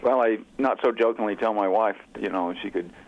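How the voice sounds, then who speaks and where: An ordinary speaking voice from a man, with fairly even intonation. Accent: American. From Oklahoma, US (Oklahoma City). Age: 60s. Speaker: author and outdoorsman. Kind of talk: interview.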